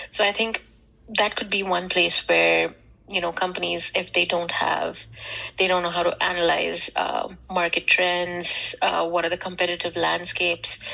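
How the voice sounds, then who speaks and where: A woman talks at a moderate pace, and noticeable background noise can be heard. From India. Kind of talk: casual discussion. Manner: halting.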